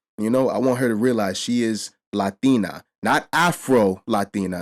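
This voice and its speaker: A man with a New York accent and a fairly low pitch speaks with ordinary pitch variation in a very clean recording with a silent background and a dry, close sound with no echo. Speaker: reaction and commentary youtuber. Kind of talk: casual commentary to camera.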